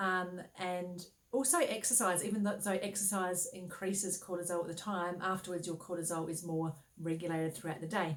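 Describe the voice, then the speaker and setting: Noticeable background noise surrounds a woman talking at a fairly quick pace. Her pitch is medium and her intonation fairly even. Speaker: naturopath and women's health coach. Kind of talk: health advice talk. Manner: fast.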